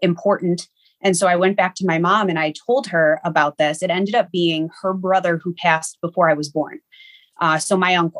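A woman with a plain, everyday voice speaks at a fairly quick pace in a fairly low pitch, her intonation fairly even, recorded dry and close with no echo. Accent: American. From Niagara Falls, New York. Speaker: medium. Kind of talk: interview.

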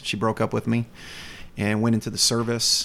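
With an American accent, a man talks at a medium pitch on a very clean recording with a silent background. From US South, North Carolina. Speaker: youth ministry director. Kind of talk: interview.

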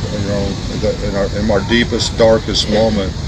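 Fairly even intonation from a man, with noticeable noise in the background. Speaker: bereaved father speaking at prayer circle. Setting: church prayer circle. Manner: emotional, pleading; halting.

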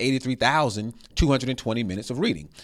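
Over a very clean recording with a silent background, a man speaks in a plain, everyday voice. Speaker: podcast host and school district PR coordinator. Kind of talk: interview for a school district podcast. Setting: recorded on location at an elementary school.

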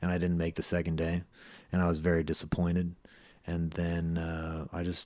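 A man with a Californian accent speaks in a very deep, low, dark and mellow voice, monotone and flat, on a very clean recording with a silent background. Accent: Californian American. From US West Coast, San Francisco Bay Area. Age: 30s. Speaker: MMA fighter and personal trainer. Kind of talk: interview.

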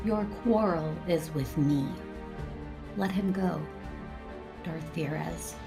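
Using a put-on character voice, a woman with a low pitch and vocal fry speaks at a slow pace with ordinary pitch variation over clear music in the background.

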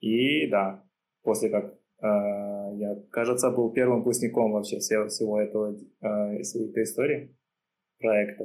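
A man with a normal speaking voice talks at a fairly slow pace, pitched fairly low, with fairly even intonation. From Uzbekistan, Tashkent. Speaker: backend engineer. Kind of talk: casual interview chat.

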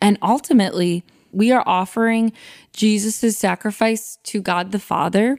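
At a moderate pace, a woman with a fairly high voice and ordinary pitch variation speaks on a very clean recording with a silent background and a dry, close sound with no echo. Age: 20s. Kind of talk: casual chat.

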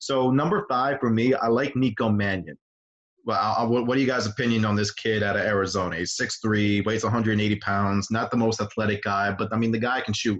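A man speaks at a moderate pace and medium pitch. He has a plain, everyday voice, and his loudness stays very even. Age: 20s. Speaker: sports podcast host and site editor. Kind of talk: casual sports chat.

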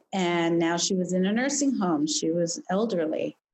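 Speaking at a fairly slow pace, a woman has a medium pitch and a plain, everyday voice. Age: 50s. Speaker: psychologist. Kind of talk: interview.

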